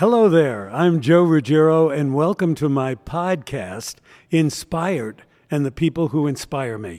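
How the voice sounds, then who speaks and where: This man talks at a fairly slow pace in a fairly high pitch, his dark, mellow tone carried by lively intonation. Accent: American. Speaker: podcast host. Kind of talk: casual interview.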